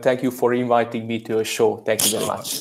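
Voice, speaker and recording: Speaking with a Hungarian accent, a man keeps a medium pitch. His intonation is monotone and flat, at a fairly quick pace. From Hungary. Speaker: crypto vlogger and IT worker. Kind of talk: casual interview chat.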